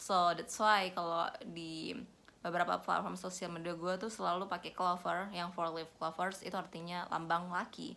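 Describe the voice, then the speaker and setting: At a moderate pace, a woman talks in a bright, sharp tone with vocal fry. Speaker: vlogger. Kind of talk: casual vlog talk, code-switching Indonesian and English. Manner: casual, with hesitations.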